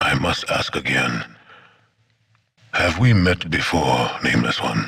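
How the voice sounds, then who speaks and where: A man's put-on character voice, very deep and low in pitch, at a fairly slow pace. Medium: video game. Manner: cold, stern, formal.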